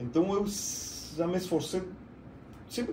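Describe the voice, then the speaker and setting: With a Spanish accent, the speaker keeps a moderate pace, and audible room echo surrounds the voice. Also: man. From Argentina. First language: Spanish (speaking Portuguese). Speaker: IT business owner. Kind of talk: podcast interview.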